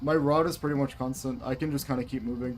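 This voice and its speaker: Music plays in the background as a man speaks. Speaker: gaming streamer. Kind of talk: live game stream chat. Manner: stuttering, stumbling over words; casual, filler-heavy.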